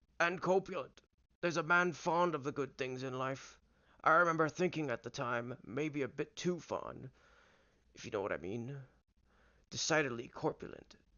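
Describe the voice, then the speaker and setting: Putting on a raspy character voice with fairly high pitch, a man speaks at a moderate pace with ordinary pitch variation and long, frequent pauses. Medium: read story. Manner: sly, insinuating.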